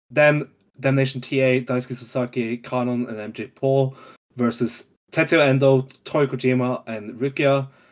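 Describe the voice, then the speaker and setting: A man's medium-pitched voice at a fairly slow pace, with monotone, flat intonation. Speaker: wrestling podcast host. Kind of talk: casual chat.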